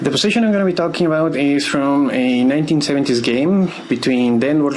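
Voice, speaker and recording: A man with a non-native accent speaks at a fairly quick pace, with a fairly high pitch and ordinary pitch variation. Noticeable background noise and audible room echo fill the recording. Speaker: chess teacher. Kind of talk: tutorial. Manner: hesitant, with filler words.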